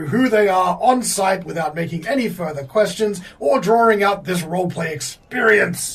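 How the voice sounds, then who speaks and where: A man puts on a character voice, pitched high. His intonation is lively and his pace moderate. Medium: actual play. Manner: jovial, folksy.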